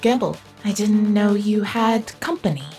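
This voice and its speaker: Over clear background music, a female-sounding put-on character voice, gravelly and robotic, speaks at a medium pitch and moderate pace. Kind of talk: voice modulator.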